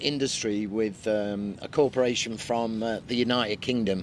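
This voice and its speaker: A man with a Mancunian accent at a moderate pace. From Manchester, England. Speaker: real estate agent. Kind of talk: casual chat.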